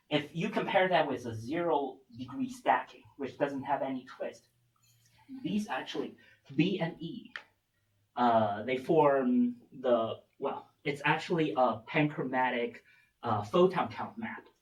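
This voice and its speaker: A man with a fairly high pitch and a somewhat breathy voice talks at a fairly slow pace. His intonation is lively, broken by long, frequent pauses. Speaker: physics researcher. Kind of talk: lecture.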